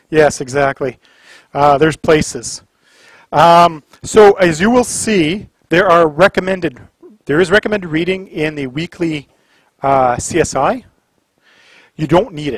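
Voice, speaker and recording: A man with a Canadian accent and a fairly high pitch speaks at a fairly slow pace, with long, frequent pauses and ordinary pitch variation. The sound is dry with no echo, and the background is quiet. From Canada, Ottawa area. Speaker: college instructor. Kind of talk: lecture. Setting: classroom. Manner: casual. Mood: relaxed, sarcastic humor. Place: classroom.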